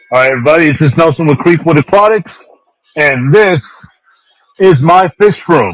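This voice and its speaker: Fairly high in pitch with ordinary variation, a man speaks at a moderate pace with very even loudness and long, frequent pauses. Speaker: fish seller. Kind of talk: live sales stream. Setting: home fish room. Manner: casual.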